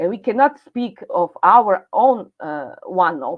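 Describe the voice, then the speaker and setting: A woman talks at a fairly slow pace with very wide pitch swings. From Serbia. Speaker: speaker at online event. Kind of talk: presentation. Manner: halting.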